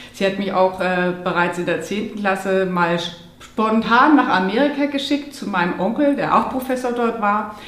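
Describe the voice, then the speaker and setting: A woman talks at a moderate pace with a medium pitch and lively intonation. Noticeable background noise and audible room echo surround her voice. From Munich area, Bavaria. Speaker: holistic lifestyle coach. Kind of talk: interview.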